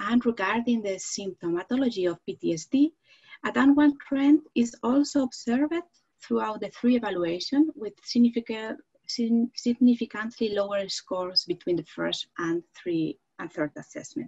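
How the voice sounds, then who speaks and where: At a moderate pace, a woman with a Spanish accent speaks with lively intonation and a fairly high pitch, her loudness swinging widely against a quiet background. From Spain. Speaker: psychology professor; panelist. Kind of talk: panel discussion; presentation of research findings. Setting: video call. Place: home room. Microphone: headset.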